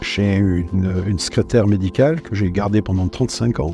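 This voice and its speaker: With noticeable background noise behind him, a man talks at a moderate pace, his fairly low pitch showing ordinary variation. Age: 70s. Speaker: general practitioner. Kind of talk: interview testimony. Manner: halting, frequent hesitations and repetitions.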